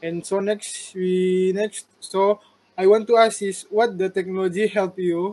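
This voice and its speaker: At a fairly slow pace, a man speaks with a high pitch and monotone, flat intonation. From Malaysia, Sabah. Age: 30s. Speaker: university student interviewer. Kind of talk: class assignment interview. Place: home room. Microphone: video call.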